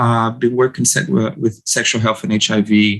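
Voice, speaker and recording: With a Brazilian accent, a man of medium pitch speaks at a moderate pace. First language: Portuguese. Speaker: medical doctor and sex therapist. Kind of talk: interview. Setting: podcast recording. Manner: halting, with frequent repetitions.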